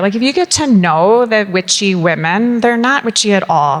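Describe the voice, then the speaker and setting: A woman speaks with a Southern California accent. There is noticeable background noise. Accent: Valley girl sound. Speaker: company founder on a panel. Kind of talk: panel discussion.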